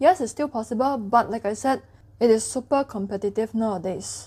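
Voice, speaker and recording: A woman with a Cantonese accent talks at a fairly quick pace in a dark, mellow tone, her fairly high pitch showing ordinary variation, on a very clean recording with a silent background. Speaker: education youtuber. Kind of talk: tutorial. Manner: casual.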